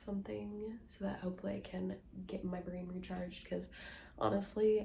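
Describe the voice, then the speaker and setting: Moderate-paced female speech amid audible room echo and noticeable background noise. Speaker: book vlogger. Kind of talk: casual vlog talk to camera. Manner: hesitant, many fillers.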